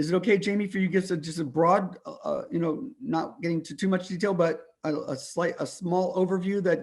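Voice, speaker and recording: Talking at a fairly quick pace with hardly any pauses, a man speaks in a high pitch with ordinary pitch variation. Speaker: climate policy meeting host. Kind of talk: online meeting discussion. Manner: halting, many fillers; normally fast-talking.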